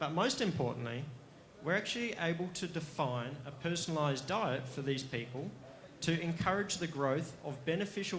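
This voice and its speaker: Speaking at a fairly quick pace, a man with an Australian accent is heard against audible room echo. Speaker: company executive presenting to investors. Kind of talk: investor pitch presentation.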